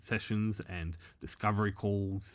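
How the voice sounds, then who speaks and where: Very clean recording with a silent background, featuring a man with an Australian accent. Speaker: former bookkeeper, tech entrepreneur. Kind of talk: tutorial. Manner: casual, hesitant with fillers.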